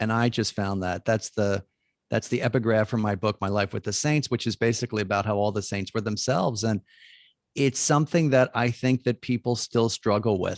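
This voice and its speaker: In an unremarkable speaking voice at a medium pitch, a man with an American accent talks at a fairly quick pace with ordinary pitch variation against a quiet background. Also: dry, close sound with no echo. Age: 60s. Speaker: Jesuit priest and author. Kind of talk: interview conversation.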